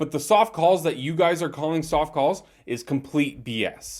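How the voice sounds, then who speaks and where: With a silent background in a very clean recording, a man's pitch varies in an ordinary way. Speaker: hockey podcaster. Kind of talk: solo sports recap. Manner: fast; animated.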